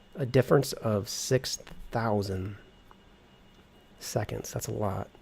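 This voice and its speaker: A man speaks very slowly in a relaxed tone. His voice is fairly low-pitched, with vocal fry. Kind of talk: thinking out loud while playing a flight simulator. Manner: casual, relaxed.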